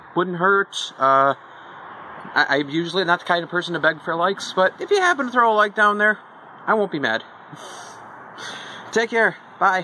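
A man speaks at a moderate pace in a raised, projected voice with ordinary pitch variation and long, frequent pauses, over light background noise. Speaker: gaming channel host. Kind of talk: casual vlog chat. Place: forest.

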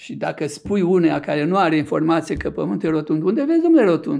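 High pitch from a man, in a dark, mellow tone with hardly any pauses. The background is quiet. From Romania, Argeș county; Romania. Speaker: neurologist and author; interview guest. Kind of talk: interview. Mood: reflective, explanatory. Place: studio. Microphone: studio mic.

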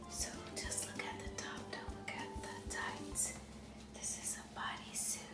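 A woman whispering at a fairly slow pace over loud background music. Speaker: ASMR creator. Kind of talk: ASMR clothing try-on haul; casual whispered try-on haul. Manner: whispered. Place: home room.

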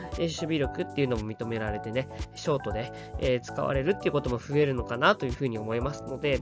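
Music plays behind a man speaking at a very fast pace. His medium pitch carries lively intonation. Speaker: baseball fan commentator. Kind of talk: casual sports commentary.

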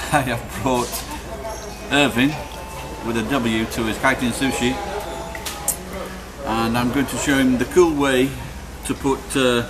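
Clear music plays in the background. A man speaks at a fairly slow pace. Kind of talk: casual vlog chat. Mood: playful, joking. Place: cafe. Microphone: phone near.

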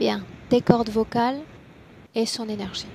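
Light background noise sits behind a woman speaking at a fairly high pitch. Her intonation is fairly even, and the sound is dry with no echo. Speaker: hypnotherapist; hypnosis session guide. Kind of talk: regressive hypnosis session. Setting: video call. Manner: directive. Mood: calm, gentle, slow. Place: home room. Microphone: headset.

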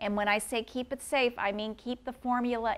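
A woman with a Midwestern American accent, at a moderate pace. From US Midwest, St. Louis, Missouri; Missouri. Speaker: patent attorney; intellectual property attorney. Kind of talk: lecture. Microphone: lapel.

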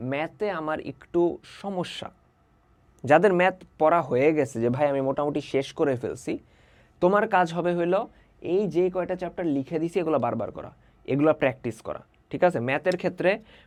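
A man speaks with a fairly high pitch and ordinary pitch variation in a normal speaking voice. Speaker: online tutor. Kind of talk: tutorial. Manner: casual, conversational.

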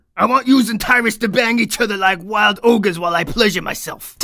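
In a raised, projected voice, a man speaks at a high pitch with fairly even intonation and a fairly quick pace. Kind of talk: comic overacting. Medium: machinima. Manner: crude, bro-ish, excitable, rambling.

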